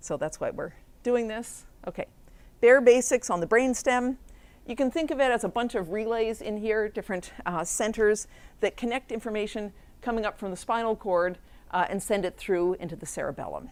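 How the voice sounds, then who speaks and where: A woman's fairly high-pitched voice with an American accent and ordinary pitch variation, in a very clean recording with a silent background. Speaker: professor. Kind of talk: lecture. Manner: fast.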